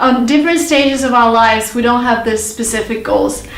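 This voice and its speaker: The speaker has a slight Russian accent. Background noise is noticeable, and room echo can be heard. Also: woman. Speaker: vlogger. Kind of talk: tutorial.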